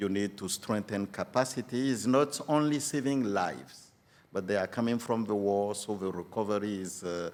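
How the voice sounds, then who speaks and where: Speaking with a French accent at a moderate pace, a man uses a fairly low pitch on a very clean recording with a silent background. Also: ordinary pitch variation. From Benin. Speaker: UN regional director. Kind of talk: podcast interview. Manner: halting, frequent fillers.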